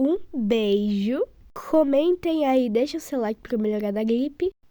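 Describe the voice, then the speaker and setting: Recorded dry and close with no echo, a woman speaks in a high, dark, mellow voice with lively intonation. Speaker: video creator. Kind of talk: casual vlog talk.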